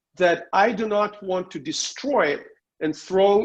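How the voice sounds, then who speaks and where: A man's high voice at a moderate pace, with ordinary pitch variation. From Soviet Union. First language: Russian. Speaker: political commentator and journalist. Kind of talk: interview.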